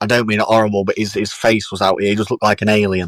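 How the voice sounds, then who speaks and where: The man's fairly low pitch comes through in a dry, close sound with no echo. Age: 20s. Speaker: professional boxer. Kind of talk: casual interview chat. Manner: animated.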